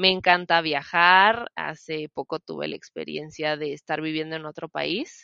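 A woman with a central Mexican accent speaks at a very deep, low pitch and a fairly slow pace, with hardly any pauses. Her intonation is fairly even, but her loudness swings widely. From Mexico, Celaya, Guanajuato. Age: 20s. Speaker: podcast co-host, preschool teacher. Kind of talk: casual chat.

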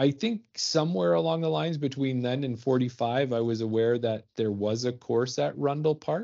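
A man with a Canadian accent has an ordinary speaking voice, medium in pitch, with lively intonation, a moderate pace and hardly any pauses. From Ontario and Alberta, Canada. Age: 40s. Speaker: podcast co-host, amateur disc golfer. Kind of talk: casual chat.

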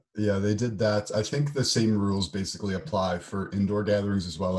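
A man's fairly low, dark, mellow voice with an American accent, at a moderate pace and with ordinary pitch variation. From United States. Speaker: podcast co-host, programmer. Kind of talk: casual chat.

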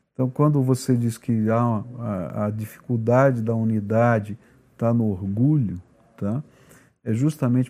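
A man's medium-pitched voice with a dark, mellow tone and fairly even intonation. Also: very clean recording, silent background. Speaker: pastor and podcast host. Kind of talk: casual chat; sermon. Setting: studio.

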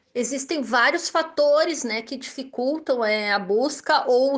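A woman with a Gaúcho Brazilian accent, high-pitched, at a fairly slow pace. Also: hardly any pauses, quiet background. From southern Brazil (Rio Grande do Sul). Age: 30s. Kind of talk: interview answers.

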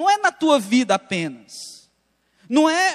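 In a dry, close sound with no echo, a man talks very slowly at an extremely high pitch. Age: 30s. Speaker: pastor. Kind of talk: sermon. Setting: church.

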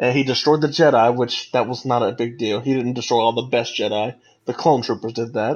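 With an American accent and an ordinary speaking voice, a man talks at a fairly quick pace with fairly even intonation. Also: medium pitch for a man. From United States. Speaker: podcast co-host. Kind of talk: casual chat.

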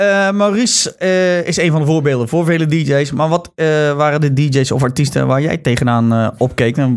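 A man's fairly high voice at a moderate pace, with ordinary pitch variation, very even loudness and hardly any pauses. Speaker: podcast host. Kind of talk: casual chat.

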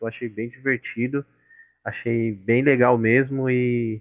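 Flat, monotone intonation from a man speaking at a medium pitch. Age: 20s. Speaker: software engineer, student association member. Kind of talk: casual interview.

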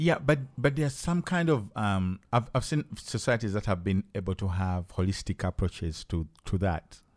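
A man with a Ugandan accent and a fairly low pitch speaks at a moderate pace with hardly any pauses and very wide pitch swings, in a very clean recording with a silent background and a dry, close sound with no echo. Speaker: podcast host and hip hop artist. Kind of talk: casual chat. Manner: animated, hesitant with frequent fillers.

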